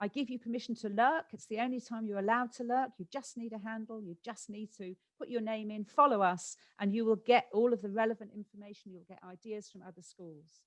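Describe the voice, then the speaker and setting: This woman talks at a fairly quick pace with a British accent, fairly high pitch, and fairly even intonation. Her loudness swings widely, and the sound is dry and close with no echo. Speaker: education specialist giving a presentation. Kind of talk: conference webinar presentation. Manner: fast.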